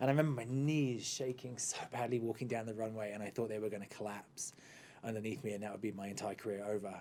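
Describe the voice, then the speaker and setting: A man with an American accent, at a very fast pace. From central England. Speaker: actor. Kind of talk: casual interview. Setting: studio.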